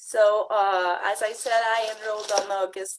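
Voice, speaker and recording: A woman with a French accent speaks at a fairly slow pace, fairly high in pitch with ordinary pitch variation. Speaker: direct sales consultant, former retail buyer. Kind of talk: testimony. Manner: halting; partly reading.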